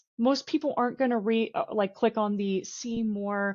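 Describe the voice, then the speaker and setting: A normal speaking voice from a woman, with ordinary pitch variation. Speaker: recruiter. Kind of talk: webinar presentation.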